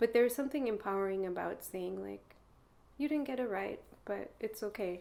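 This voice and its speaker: At a fairly quick pace, a woman with an American accent and a dark, mellow tone speaks at medium pitch with ordinary pitch variation. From United States. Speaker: interviewee. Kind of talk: interview. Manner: casual, hesitant with fillers.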